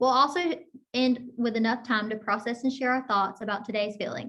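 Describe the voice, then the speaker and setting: A woman's fairly high, bright, sharp voice, flat and monotone, at a very fast pace. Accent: American. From Florida, small town. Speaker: occupational therapy student. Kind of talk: scripted group session presentation.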